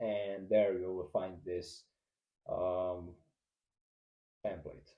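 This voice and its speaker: This man speaks with a non-native accent. His tone is dark and mellow. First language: not English. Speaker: marketing agency owner / YouTuber. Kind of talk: tutorial. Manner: halting, many fillers and restarts.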